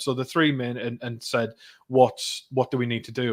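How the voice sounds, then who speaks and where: He speaks with a North East England accent. This man keeps a moderate pace and a medium pitch. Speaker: parliamentary candidate. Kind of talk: interview.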